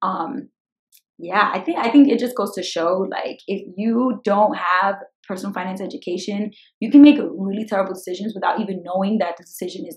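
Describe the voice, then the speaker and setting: A woman talks at a fairly quick pace with an energetic tone. Her voice is medium in pitch and somewhat breathy. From Brooklyn, New York. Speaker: personal finance YouTuber. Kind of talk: casual vlog Q&A. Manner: fast.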